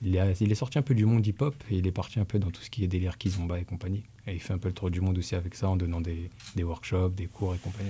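A man speaks at a very fast pace in a very deep, low pitch. His tone is dark, mellow and somewhat breathy, with fairly even intonation. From Dijon, France. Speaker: hip-hop dancer. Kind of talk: casual chat.

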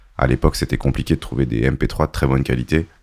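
A man talks at a very fast pace with vocal fry. The sound is dry and close, with no echo. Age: 30s. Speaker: DJ. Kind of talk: casual chat.

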